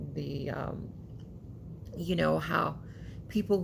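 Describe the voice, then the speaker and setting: With audible room echo around her, a woman speaks at a very slow pace. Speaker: YouTuber, commentary vlogger. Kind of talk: casual monologue vlog.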